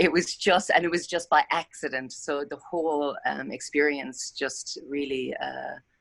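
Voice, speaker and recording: In an Irish accent, a woman with a very deep, low pitch speaks at a fairly slow pace. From Ireland. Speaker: meditation session participant. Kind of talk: casual sharing in group video call.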